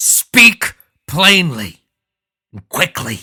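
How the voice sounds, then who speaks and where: A put-on character voice from a man, high-pitched and raspy, with very wide pitch swings. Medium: read story. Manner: imperious, commanding.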